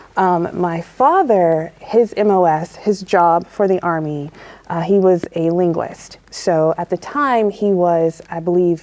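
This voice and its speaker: In a normal speaking voice with an American accent, the speaker goes at a fairly slow pace with hardly any pauses and fairly even intonation. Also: woman. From Arizona and Georgia, US. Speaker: retired navy officer. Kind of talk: interview.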